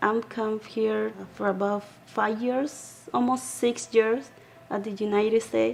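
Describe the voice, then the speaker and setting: Very slowly and with fairly even intonation, a woman in a Salvadoran accent speaks at a medium pitch. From El Salvador. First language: Spanish. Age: 20s. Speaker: program graduate, young mother. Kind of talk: testimony.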